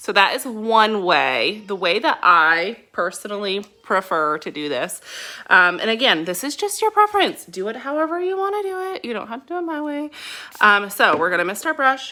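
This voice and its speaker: With very wide pitch swings and big swings in loudness, a woman with a fairly high pitch and a bright, sharp tone speaks in an animated tone at a moderate pace. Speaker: beauty product distributor. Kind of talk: makeup tutorial.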